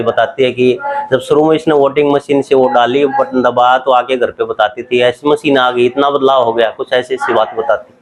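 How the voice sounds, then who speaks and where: A man talks at a moderate pace with monotone, flat intonation and very even loudness. Noticeable background noise sits behind him. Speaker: family member of elderly voter. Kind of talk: interview answer.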